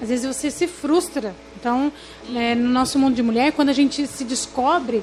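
Noticeable background noise behind a woman talking at a moderate pace in a high voice. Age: 40s. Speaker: pastor. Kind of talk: casual chat.

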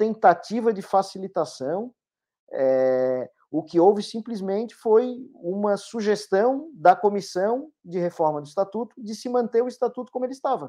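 A man talks at a fairly slow pace with a high pitch and a dark, mellow tone. His pitch swings very widely. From Florianópolis, Santa Catarina, Brazil. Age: 30s. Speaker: sports lawyer, football club vice-presidential candidate. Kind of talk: interview.

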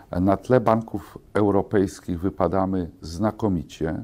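A man speaks at a fairly slow pace with a very deep, low pitch. His tone is dark and mellow, with ordinary pitch variation. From Poland, small town. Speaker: bank executive. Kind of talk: interview. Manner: formal.

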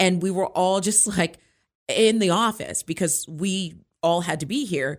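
With an American accent, a woman speaks in an unremarkable speaking voice at medium pitch and a fairly slow pace. Her pitch varies in an ordinary way, and the recording is very clean with a silent background. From Maryland (Hyattsville). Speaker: radio host. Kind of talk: casual chat.

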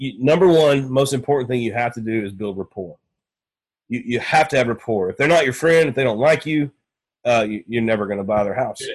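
Here a man speaks with an East Texas accent. His pitch is medium, its variation ordinary, and his pace moderate. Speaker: real estate investor and sales coach. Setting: podcast interview.

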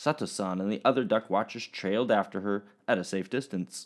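A man at a moderate pace with lively intonation. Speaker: teacher. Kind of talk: children's story reading; remote lesson for children. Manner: animated; slightly halting, stumbling over words.

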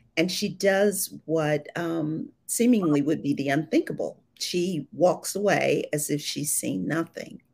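A woman with an American accent has a plain, everyday voice, pitched fairly low. She talks at a fairly slow pace. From Ohio, US Midwest. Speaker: debut thriller author. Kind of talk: live interview. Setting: video call from Atlanta.

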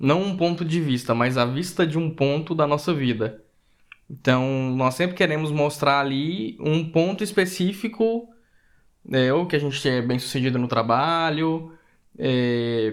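An ordinary speaking voice belongs to this man, fairly high in pitch. He talks at a fairly slow pace with lively intonation. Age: 30s. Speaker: podcast co-host. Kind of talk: casual chat.

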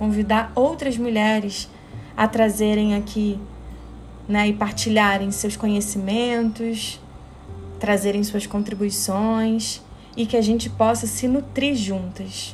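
The voice moves at a very slow pace with monotone, flat intonation. Music plays in the background, and room echo is audible. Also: woman. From Rio de Janeiro, Brazil. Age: 30s. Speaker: podcast host and psychotherapist. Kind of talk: monologue podcast introduction.

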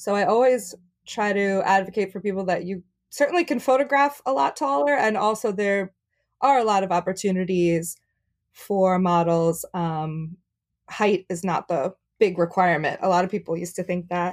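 On a very clean recording with a silent background, a woman speaks at a moderate pace in a medium pitch with ordinary pitch variation. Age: 30s. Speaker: plus size model and content creator. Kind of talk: casual interview.

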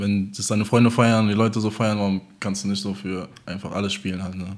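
This man has a plain, everyday voice. He talks at a fairly quick pace with fairly even intonation. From Germany, Offenbach area (Hesse). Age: 20s. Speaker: DJ. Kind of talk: casual chat.

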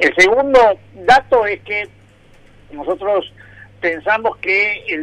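The man's voice has a bright, sharp tone. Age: 60s. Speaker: public pension agency head. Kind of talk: radio interview. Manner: halting, many fillers.

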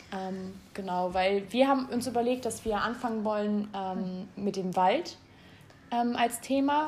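A woman speaks at a fairly slow pace in a somewhat breathy, fairly high voice with ordinary pitch variation, and audible room echo surrounds her. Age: 20s. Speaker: podcast co-host, interior design student. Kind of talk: casual chat. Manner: hesitant, many fillers.

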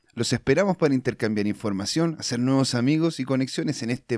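An unremarkable speaking voice moves at a fairly quick pace with lively intonation, its sound dry and close with no echo on a very clean recording with a silent background. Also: man. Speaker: podcast host. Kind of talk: podcast outro.

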